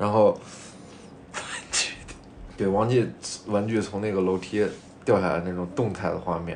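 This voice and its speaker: Audible room echo surrounds speech at a moderate pace, with fairly even intonation and long, frequent pauses. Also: man, fairly low pitch for a man. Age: 20s. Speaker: podcast co-host. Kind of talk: casual chat.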